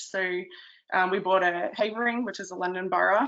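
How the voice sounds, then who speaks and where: Fairly even intonation marks this voice with an Australian accent. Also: woman. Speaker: town planner. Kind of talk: webinar presentation. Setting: online webinar. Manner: hesitant, many ums and uhs.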